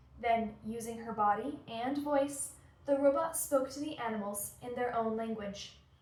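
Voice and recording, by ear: Someone reads aloud in a natural voice, pitch shifting in an ordinary way.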